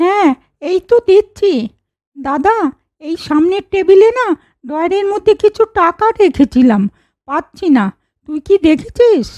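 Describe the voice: A cartoonish character voice from a woman, extremely high-pitched with very wide pitch swings, at a fairly slow pace, in a dry, close sound with no echo.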